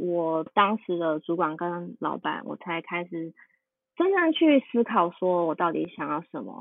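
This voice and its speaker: This woman has a Taiwanese accent and a fairly low pitch. She talks at a fairly slow pace with ordinary pitch variation. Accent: Taiwanese Mandarin. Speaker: UI designer. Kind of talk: interview conversation.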